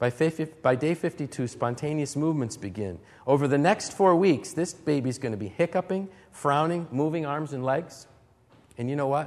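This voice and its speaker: Speaking at a moderate pace, a man with an unremarkable speaking voice uses a fairly high pitch and lively intonation. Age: 40s. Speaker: camp speaker, lay preacher. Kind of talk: sermon. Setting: talk to teenagers at a church camp.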